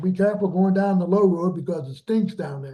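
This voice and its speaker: This man talks at a fairly quick pace in a high pitch, his tone dark and mellow. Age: 70s. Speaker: trumpet teacher. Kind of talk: master class talk. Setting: video call. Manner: animated.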